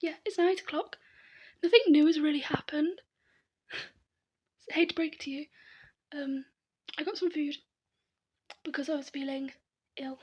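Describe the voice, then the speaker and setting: A whispering woman with a British accent, fairly quick pace, long and frequent pauses, and big swings in loudness. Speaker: vlogger. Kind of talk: casual vlog monologue. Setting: in her room. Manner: half whispering.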